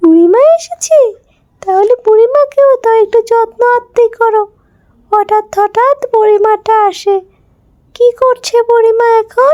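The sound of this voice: A woman's cartoonish character voice at an extremely high pitch, very slow and very even in loudness, with a dry, close sound and no echo.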